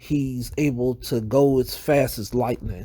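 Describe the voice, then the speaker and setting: A man with a Southern US accent speaks at a medium pitch in a dark, mellow tone. The recording is very clean, with a silent background. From US South. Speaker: YouTuber. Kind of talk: casual vlog monologue.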